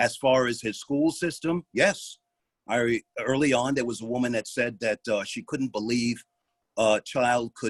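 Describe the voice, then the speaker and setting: A man with an American accent and an unremarkable speaking voice, medium in pitch with ordinary pitch variation, at a fairly slow pace in a dry, close sound with no echo. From New York City, South Bronx. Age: 60s. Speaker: retired police officer and parent. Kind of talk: public comment at a meeting.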